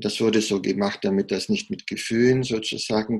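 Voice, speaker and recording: Speaking at a fairly slow pace, a man shows vocal fry and ordinary pitch variation. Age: 50s. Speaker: heart surgeon. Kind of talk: interview.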